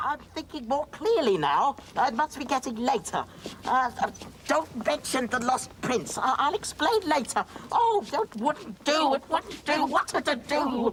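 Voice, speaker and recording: Over clear background noise, a put-on character voice speaks at a high pitch and a fairly slow pace. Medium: short film. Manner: fussy, flustered, hooting.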